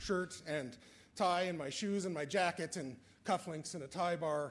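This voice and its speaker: A man with a fairly high voice talks at a moderate pace with ordinary pitch variation. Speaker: assessment agency staff presenter. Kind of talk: conference presentation. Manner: halting.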